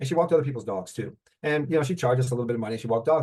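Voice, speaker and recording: A man with a fairly high pitch speaks at a very fast pace, somewhat breathy. His pitch variation is ordinary. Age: 70s. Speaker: mortgage note investor. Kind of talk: interview. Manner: halting.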